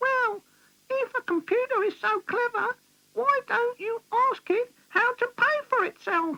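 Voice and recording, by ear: A cartoonish character voice, squeaky and extremely high in pitch. It moves at a fairly slow pace.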